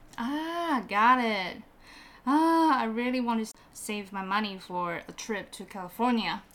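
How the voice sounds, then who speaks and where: With a Mandarin accent, a woman speaks at a fairly high pitch and a fairly slow pace, using lively intonation. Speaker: podcast co-host. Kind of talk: bilingual casual chat for learners. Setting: studio.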